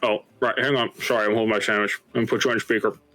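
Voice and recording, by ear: In a put-on character voice, a man of medium pitch rattles along at a very fast pace with monotone, flat intonation.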